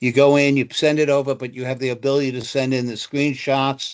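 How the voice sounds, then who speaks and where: A man at a medium pitch and moderate pace against a quiet background. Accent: New Jersey. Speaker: travel supplier representative. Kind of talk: webinar presentation. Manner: halting, many fillers.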